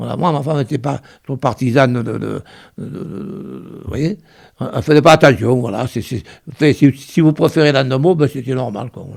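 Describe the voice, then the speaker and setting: At a moderate pace, a man with a medium pitch and vocal fry speaks with ordinary pitch variation and big swings in loudness. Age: 80s+. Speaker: retired miner. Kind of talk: oral history interview. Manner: halting, many repetitions.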